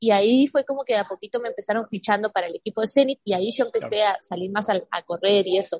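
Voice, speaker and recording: Very fast speech with ordinary pitch variation and a dry, close sound free of echo. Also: woman, fairly high pitch for a woman. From Argentina, San Martín de los Andes (Patagonia). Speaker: professional mountain biker. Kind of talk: interview.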